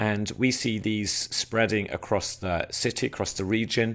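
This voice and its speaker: A man's fairly low voice in an English accent, fairly even in intonation, on a very clean recording with a silent background. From England. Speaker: church planter and trainer. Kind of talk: recorded training talk. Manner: hesitant, many filler words.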